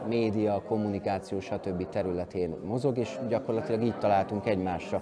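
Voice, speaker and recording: A man talks at a fairly quick pace in a fairly low pitch, with noticeable background noise behind him. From Hungary. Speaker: event host and cultural organizer; event host. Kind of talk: interview. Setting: indoors at a summer camp. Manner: hesitant with word repetitions. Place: hall.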